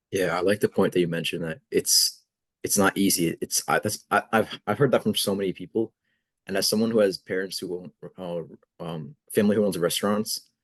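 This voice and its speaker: Fairly low in pitch with fairly even intonation, a man speaks in an unremarkable speaking voice at a fairly quick pace, the sound dry and close with no echo. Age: young. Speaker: student podcast host. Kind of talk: podcast interview.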